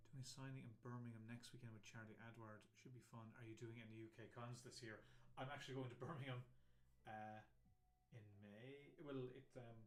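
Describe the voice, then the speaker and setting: A man's voice at medium pitch and a fairly quick pace, with audible room echo. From Ireland. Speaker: comic artist. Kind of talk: casual live-stream chat while drawing. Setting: live stream. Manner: hesitant, many fillers.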